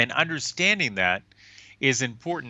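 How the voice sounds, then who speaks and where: A man talks at a moderate pace with an American accent, using a plain, everyday voice and ordinary pitch variation. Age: 60s. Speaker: physician and scientist. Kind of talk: interview. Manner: repetitive false starts.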